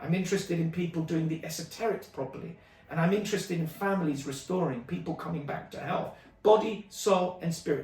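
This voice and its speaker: A man with a London accent talks at a fairly quick pace in an animated tone, his pitch high with ordinary variation. Audible room echo and noticeable background noise surround him. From London, England (Stonebridge, Harlesden). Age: 50s. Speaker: martial arts teacher. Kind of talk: community video update.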